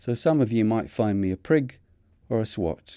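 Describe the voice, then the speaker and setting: The voice has a dark, mellow tone and a Mancunian accent, with ordinary pitch variation at a fairly slow pace. The recording is very clean with a silent background. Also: man. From northern England, Manchester. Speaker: retired vicar and theologian. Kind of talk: scripted narration.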